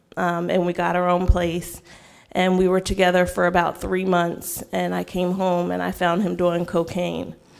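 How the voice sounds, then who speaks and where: On a very clean recording with a silent background, a woman with an American accent talks at a moderate pace. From Frederick, Maryland. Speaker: ministry program graduate. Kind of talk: testimony.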